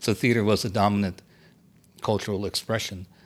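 On a very clean recording with a silent background, a man with an American accent speaks at a fairly quick pace. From US South, Miami. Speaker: theater producer and poet. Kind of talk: casual chat. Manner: halting.

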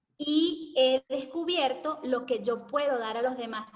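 A woman speaks at a fairly slow pace. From Venezuela (Caracas, Valencia). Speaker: hair care content creator. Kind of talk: interview conversation.

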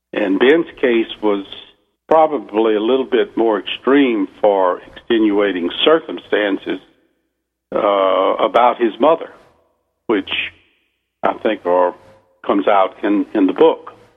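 The speaker has a Southern US accent. Long pauses come often. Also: man. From US South. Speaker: novelist. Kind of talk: radio interview.

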